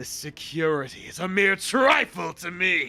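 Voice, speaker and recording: With faint music behind him, a man in a put-on character voice speaks at a high pitch and moderate pace in a confident tone. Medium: game stream. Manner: grandiose, confident.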